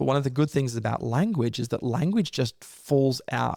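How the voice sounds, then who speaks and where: A man with a dark, mellow tone and ordinary pitch variation is heard in a very clean recording, dry and close with no echo and a silent background. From Australia. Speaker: leadership coach and author. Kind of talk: interview.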